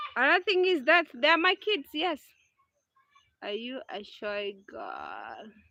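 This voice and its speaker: A woman with a high pitch uses a raised, projected voice and a bright, sharp tone, with very wide pitch swings and big swings in loudness. She speaks at a very slow pace with long, frequent pauses, and the sound is dry and close with no echo. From Kenya. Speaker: vlogger. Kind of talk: casual chat. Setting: livestream outdoors in village. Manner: halting.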